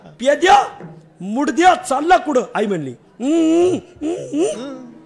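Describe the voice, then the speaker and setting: Very wide pitch swings from a man, set against noticeable background noise. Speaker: kirtan preacher. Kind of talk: kirtan sermon with storytelling.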